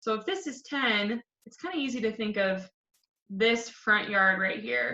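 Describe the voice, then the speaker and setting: Speaking fairly slowly in a normal speaking voice, a woman with a fairly high pitch shows ordinary pitch variation and big swings in loudness. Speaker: elementary school teacher. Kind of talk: tutorial.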